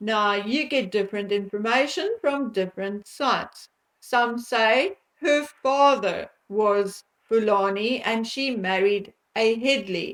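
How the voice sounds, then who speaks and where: The speaker uses a South African accent, a very slow pace and ordinary pitch variation. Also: woman, fairly high pitch for a woman. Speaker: commentary vlogger. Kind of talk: monologue commentary vlog.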